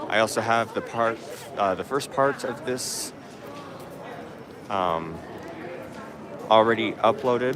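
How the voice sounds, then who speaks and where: A man at a medium pitch speaks at a fairly slow pace with long, frequent pauses and ordinary pitch variation. Noticeable background noise and audible room echo are present. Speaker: orchid channel host. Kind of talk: live stream plant show tour. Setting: orchid show, partly outdoors.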